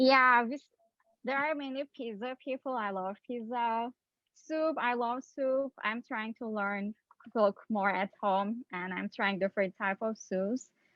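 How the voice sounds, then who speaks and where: A woman speaks in a Turkish accent at a fairly slow pace. Her pitch is fairly high, with ordinary variation. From Turkey, Istanbul. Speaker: PhD student scientist. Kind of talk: educational outreach talk on video call.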